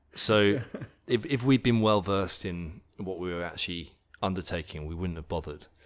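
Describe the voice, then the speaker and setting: On a very clean recording with a silent background, a man with an English accent and a very deep, low voice speaks at a moderate pace, with ordinary pitch variation and big swings in loudness. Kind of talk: interview.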